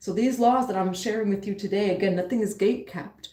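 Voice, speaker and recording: A somewhat breathy woman with an American accent, medium pitch and ordinary pitch variation. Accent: pronounces some English words a little wrong. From New York, the Bronx. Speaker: spiritual teacher and tarot reader. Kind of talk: live-stream reading and spiritual teaching.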